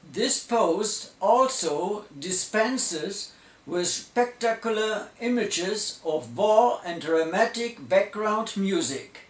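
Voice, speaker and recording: Noticeable background noise and audible room echo surround a high-pitched man with a German accent. He talks at a very slow pace with lively intonation and hardly any pauses. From Germany. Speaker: electronics engineer. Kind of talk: lecture.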